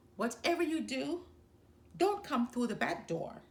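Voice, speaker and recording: A woman performs a put-on character voice. It sits high and moves in very wide pitch swings. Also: moderate pace. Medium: read story. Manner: cheeky, teasing.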